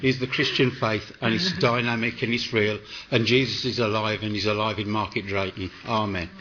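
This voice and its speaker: The speaker has a West Midlands accent. The pace is moderate and the pitch varies in an ordinary way. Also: man, medium pitch for a man. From West Midlands, England. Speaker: food bank volunteer. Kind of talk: interview. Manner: animated.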